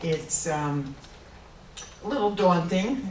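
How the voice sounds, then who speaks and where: A woman speaks with a fairly low pitch, against noticeable background noise. Room echo is audible. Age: 70s. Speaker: candidate for treasurer. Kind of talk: candidate speech at forum. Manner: halting, many fillers.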